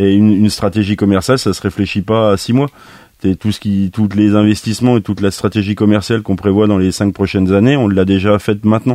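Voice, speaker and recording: Very fast and monotone, a man speaks in a flat intonation at a fairly low pitch. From France, Nièvre. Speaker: master baker and bakers' union head. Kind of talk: radio interview. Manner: halting.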